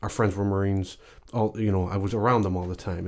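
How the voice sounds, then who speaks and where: A fairly low-pitched male voice with a dark, mellow tone, an American accent and fairly even intonation, on a very clean recording with a silent background. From Chicago and Canada. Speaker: retired navy chief. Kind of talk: casual interview conversation.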